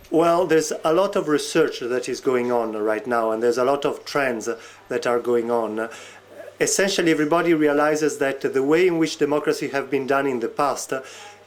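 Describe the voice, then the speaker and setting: A man with a fairly high pitch speaks at a fairly quick pace, using ordinary pitch variation. Noticeable background noise runs beneath his voice. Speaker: researcher on e-democracy. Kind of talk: interview. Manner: hesitant, many fillers.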